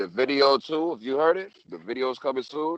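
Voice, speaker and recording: A man talks in a plain, everyday voice at a medium pitch. His intonation is lively and his pace moderate. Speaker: rapper. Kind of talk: casual chat.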